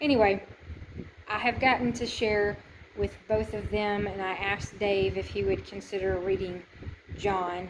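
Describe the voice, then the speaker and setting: A woman's medium-pitched voice at a moderate pace, fairly even in intonation, with long, frequent pauses and noticeable background noise. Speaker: volunteer archaeological excavator and missionary vlogger. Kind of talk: casual video diary. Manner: loud.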